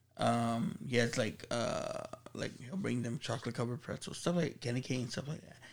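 On a very clean recording with a silent background, a man with vocal fry speaks at a moderate pace and medium pitch with lively intonation. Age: 40s. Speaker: podcast co-host. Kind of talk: casual chat.

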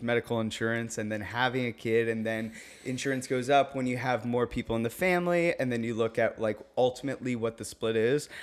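Barely pausing, a man rattles on at a very fast pace in a medium pitch. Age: 30s. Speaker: DJ and business owner. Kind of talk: casual chat. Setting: at the host's house.

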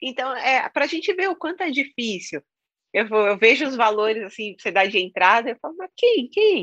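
Her pitch is high for a woman and swings very widely as she talks at a moderate pace, the sound dry and close with no echo. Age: 40s. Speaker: author and content creator, former house cleaner. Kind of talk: interview.

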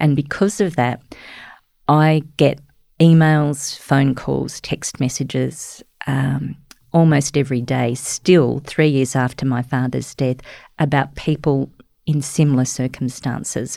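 A woman's dark, mellow, very deep voice with an Australian accent, fairly even in intonation and fairly slow in pace. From outback New South Wales, Australia (Cobar). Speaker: journalist. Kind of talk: interview.

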